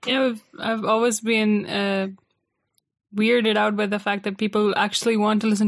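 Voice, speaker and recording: A woman speaks in a fairly high-pitched voice. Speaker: podcast guest, host's sister. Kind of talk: casual chat.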